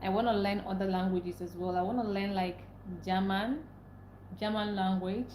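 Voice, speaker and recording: A woman with a Nigerian accent speaks with long, frequent pauses, amid noticeable background noise and audible room echo. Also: medium pitch for a woman, fairly even intonation, moderate pace. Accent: Nigerian English (Igbo). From Nigeria (Igbo). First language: Igbo. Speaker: livestreamer. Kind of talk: live stream chat.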